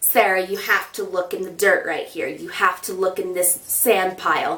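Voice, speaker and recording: This woman puts on a raspy character voice at medium pitch, moving at a moderate pace. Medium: solo performance.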